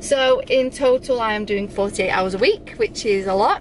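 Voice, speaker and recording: Light background noise runs under the voice. The sound is dry, with no echo. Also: woman. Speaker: nursing student vlogger. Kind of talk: casual vlog chat. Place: car. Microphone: phone near.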